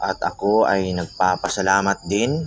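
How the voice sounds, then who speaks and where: A man talks at a fairly low pitch, with noticeable background noise present. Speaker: folk magic YouTuber. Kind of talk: reading viewer comments and teaching spells.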